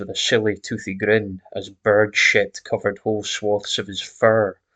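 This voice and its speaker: In a Scottish accent, a man speaks at a moderate pace against a quiet background. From Scotland. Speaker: horror story narrator. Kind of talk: horror story reading.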